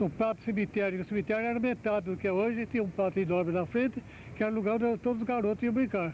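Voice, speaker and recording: A man's high-pitched voice at a very fast pace, very even in loudness, with ordinary pitch variation. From Brazil, São José dos Campos (São Paulo state). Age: 80s+. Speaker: elderly local resident giving oral history. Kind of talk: oral history testimony. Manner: halting, with false starts.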